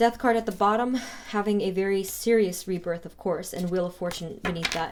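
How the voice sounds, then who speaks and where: A woman at medium pitch and a fairly quick pace, with noticeable background noise. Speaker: tarot reader. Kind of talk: tarot reading to camera. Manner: fast.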